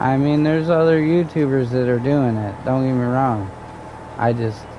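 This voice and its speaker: A man speaks at a very even loudness with ordinary pitch variation, over noticeable background noise and audible room echo. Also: medium pitch for a man, moderate pace. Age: 30s. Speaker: gaming streamer. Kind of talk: casual chat.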